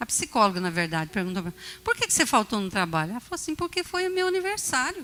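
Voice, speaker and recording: A woman's bright, sharp, animated voice, fairly high and with very wide pitch swings. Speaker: bishop preaching. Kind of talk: sermon. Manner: animated storytelling.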